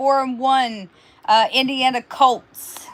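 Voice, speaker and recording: A woman's high-pitched voice at a fairly slow pace. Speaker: sports predictions co-host. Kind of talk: casual sports chat. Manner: stuttering, repeating words.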